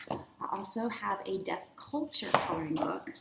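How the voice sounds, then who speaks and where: Noticeable background noise behind a woman with an American accent. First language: American Sign Language. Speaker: teacher and curriculum author. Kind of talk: product presentation. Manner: casual.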